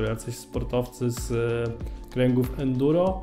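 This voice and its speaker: A man's voice with faint music in the background. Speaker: news presenter. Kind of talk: news commentary to camera. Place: studio. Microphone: handheld.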